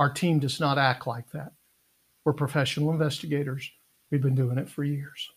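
Speaking in an American accent, a man with a fairly high, somewhat breathy voice keeps a moderate pace and a monotone, flat intonation. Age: 60s. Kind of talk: live stream Q&A. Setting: Facebook live video.

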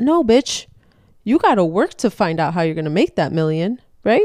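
A woman's dark, mellow voice moves through very wide pitch swings. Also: dry, close sound with no echo. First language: not English. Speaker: podcast co-host. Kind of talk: casual chat. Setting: home, podcast in pajamas. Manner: casual, cursing, laughing.

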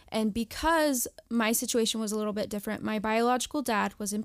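Recorded very cleanly against a silent background, a woman with a fairly high pitch and an unremarkable speaking voice keeps her intonation fairly even. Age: 30s. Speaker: mother and former surrogate. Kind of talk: interview, personal testimony.

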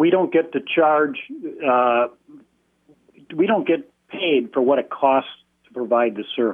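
A man is speaking. His medium-pitched voice moves at a fairly slow pace. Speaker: public school employee. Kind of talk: call-in radio comment. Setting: phone call.

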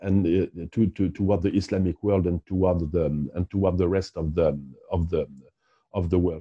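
The voice is somewhat breathy and has a dark, mellow tone, with a French accent. The recording is dry and close, without echo. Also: man. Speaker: historian and archaeologist. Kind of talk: interview. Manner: halting, many fillers and repetitions.

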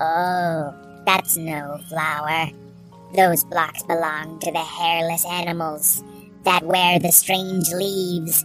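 In a put-on character voice at a middle pitch, the speaker goes at a very slow pace over clear music in the background. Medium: read story. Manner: formal, earnest.

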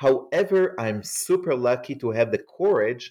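At a moderate pace, a man with medium pitch speaks with very wide pitch swings. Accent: Israeli. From Israel. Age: 40s. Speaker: scholar and author. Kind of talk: interview.

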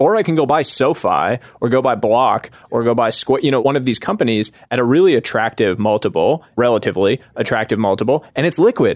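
A man with an ordinary speaking voice at medium pitch, fairly quick in pace and very even in loudness, in a dry, close sound with no echo. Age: 30s. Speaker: venture capital investor. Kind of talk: casual interview chat.

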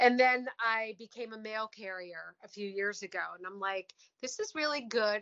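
Here is a woman with a normal speaking voice at a medium pitch. She keeps a moderate pace and fairly even intonation. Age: 40s. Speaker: recovery coach. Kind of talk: casual interview.

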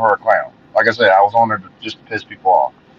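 The sound is dry and close, with no echo. A man talks in an American accent. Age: 40s. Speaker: social media commentator. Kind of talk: casual interview conversation. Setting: online call.

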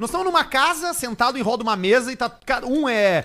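On a very clean recording with a silent background, a man talks at a fairly quick pace in an extremely high pitch, his tone bright and sharp. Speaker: comedy podcast host. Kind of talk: casual comedic chat; sponsor sign-off. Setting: studio, streamed live on video.

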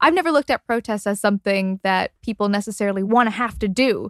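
An ordinary speaking voice from a woman with a Canadian accent, fairly high in pitch, on a very clean recording with a silent background and a dry, close sound with no echo. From suburban Canada. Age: 20s. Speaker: podcast host. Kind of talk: narrated documentary and interview.

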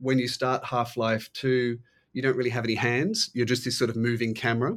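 Recorded very cleanly against a silent background, a man with an Australian accent speaks at medium pitch and a moderate pace, keeping his intonation fairly even. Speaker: author and art historian. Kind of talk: interview. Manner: halting, many fillers.

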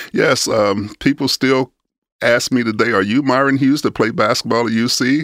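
Heard in a dry, close sound with no echo, a man with an American accent speaks at a fairly quick pace with ordinary pitch variation. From US South, rural Alabama. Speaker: business owner, former pro basketball player. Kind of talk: interview. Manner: halting, frequent fillers.

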